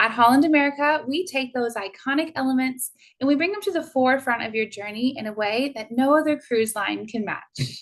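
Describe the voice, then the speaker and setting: With a Texan accent, a woman speaks in a high pitch with ordinary pitch variation. Her fairly quick pace leaves hardly any pauses. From Texas. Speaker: cruise tour director. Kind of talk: sales presentation. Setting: Zoom webinar.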